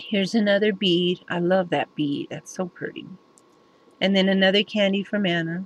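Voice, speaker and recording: Here a woman speaks with ordinary pitch variation. Her voice is somewhat breathy. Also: medium pitch for a woman, moderate pace. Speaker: craft video maker. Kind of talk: crafting show-and-tell tutorial. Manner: casual, halting with fillers.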